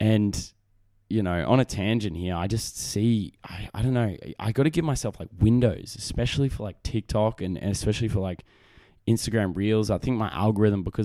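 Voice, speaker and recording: In a very clean recording with a silent background, a man with an Australian accent speaks at a fairly quick pace in a fairly low, dark, mellow voice with ordinary pitch variation. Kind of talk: casual solo monologue. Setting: home recording setup with microphone.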